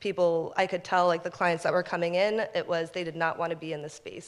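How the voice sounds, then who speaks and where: A woman's fairly low, monotone voice with flat intonation at a fairly quick pace. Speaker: community organizer; storyteller. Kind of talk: personal storytelling. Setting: stage with audience. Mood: reflective, earnest. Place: stage.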